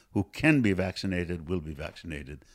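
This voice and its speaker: Recorded very cleanly against a silent background, a man speaks with lively intonation. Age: 60s. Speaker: medical professor. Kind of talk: interview.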